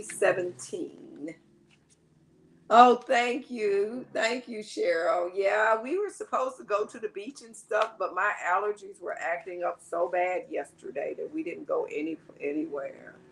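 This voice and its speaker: Fairly high in pitch, a woman speaks at a fairly slow pace, her pitch swinging very widely and her loudness rising and falling sharply. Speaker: online seller. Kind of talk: live stream sales chat.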